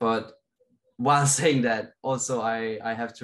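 Here a man with a Danish accent speaks at a medium pitch. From Denmark. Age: 20s. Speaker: racing driver. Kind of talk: interview.

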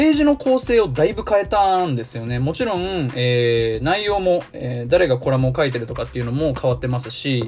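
Against noticeable background noise, a man talks at a fairly quick pace with a fairly high pitch and lively intonation. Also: hardly any pauses. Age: 20s. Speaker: podcast host. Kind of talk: solo podcast talk. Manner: many filler words (えー).

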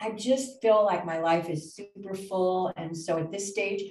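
A somewhat breathy voice belongs to a woman. She keeps to a medium pitch and a moderate pace. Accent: American. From US Pacific Northwest. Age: 60s. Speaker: podcast co-host. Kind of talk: casual chat.

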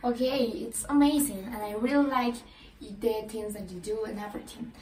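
A woman with a Spanish accent speaks at a moderate pace in a fairly high, fairly even voice. Noticeable background noise and audible room echo surround her. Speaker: podcast host. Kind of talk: interview. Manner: halting.

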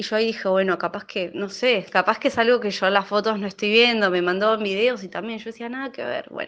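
A woman's fairly high voice in a Rioplatense accent, fairly quick with hardly any pauses, fairly even in intonation yet with big swings in loudness, over a quiet background. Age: 30s. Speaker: listener sharing a personal story. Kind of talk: personal anecdote.

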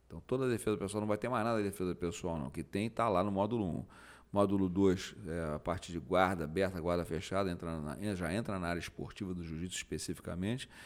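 A man with a very deep, low voice talks very fast with ordinary pitch variation on a very clean recording with a silent background. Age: 50s. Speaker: jiu-jitsu master and motivational speaker. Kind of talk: casual chat.

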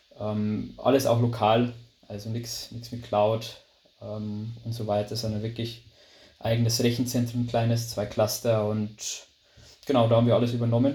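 With a Bavarian accent, a man speaks fairly slowly in a medium pitch, somewhat breathy and monotone, with long, frequent pauses and audible room echo. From Lower Bavaria, Germany. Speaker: management consultant. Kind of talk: interview. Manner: hesitant, many fillers.

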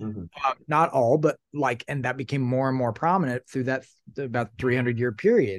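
Against a quiet background, a man with an American accent talks at a moderate pace, medium in pitch with ordinary pitch variation. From US Midwest, Southern Illinois. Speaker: novelist and singer-storyteller. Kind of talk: reading aloud from own novel; casual interview chat.

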